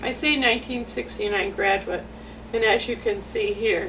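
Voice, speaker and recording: A fairly slow American accent with audible room echo and noticeable background noise. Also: woman. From US Midwest, metropolitan Detroit. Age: 60s. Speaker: parent telling her story. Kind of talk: personal testimony. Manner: halting, with many restarts.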